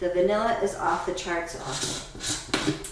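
A woman speaks at a very slow pace. Room echo is audible, and background noise is noticeable. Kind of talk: tutorial. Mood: upbeat and enthusiastic. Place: kitchen. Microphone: camera far.

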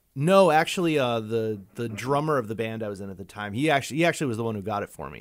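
Very fast and with hardly any pauses, a man speaks at a medium pitch with very wide pitch swings and big swings in loudness. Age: 40s. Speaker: music podcast guest. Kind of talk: casual chat.

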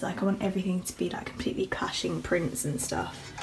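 A woman's animated, medium-pitched voice with lively intonation and a British accent. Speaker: vlogger. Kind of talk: casual vlog. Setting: outdoors on the street while filming. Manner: chatty, animated.

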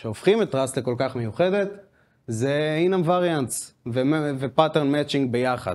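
A man with a plain, everyday voice talks at a moderate pace. His intonation is lively. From Israel. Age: 20s. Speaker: software developer; speaker. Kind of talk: conference talk. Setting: stage with audience. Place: office. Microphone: handheld.

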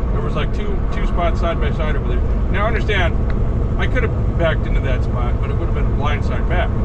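A man speaks at a fairly quick pace. Loud background noise fills the recording. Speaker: truck driver. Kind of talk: angry late-night rant mocking rookie truckers. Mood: annoyed, ranting. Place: car. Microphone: camera far.

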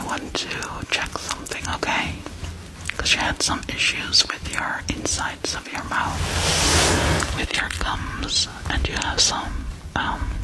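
Over loud background noise, a soft-spoken woman whispers at a very slow pace, leaving long, frequent pauses. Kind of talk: soft-spoken roleplay examination. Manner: soft ASMR whisper, close to the mic. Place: home room. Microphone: studio mic.

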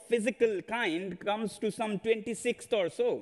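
Against a quiet background, a man talks at a fairly slow pace. His voice is high, with lively intonation. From India. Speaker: education reformer; speaker. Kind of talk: conference talk. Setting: stage with audience. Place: stage. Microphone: headset.

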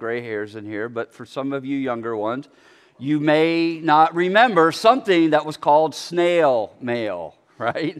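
Speaking at a fairly slow pace against a quiet background, a man lets his loudness swing widely. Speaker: bible study teacher. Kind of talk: sermon. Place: church.

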